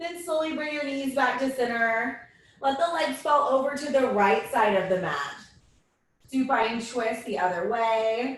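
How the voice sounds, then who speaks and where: A woman speaks loudly with high pitch, and audible room echo is present. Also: ordinary pitch variation, fairly slow pace. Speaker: yoga instructor. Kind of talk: guided yoga class. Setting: video call. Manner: calm, instructive. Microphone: far from the mic.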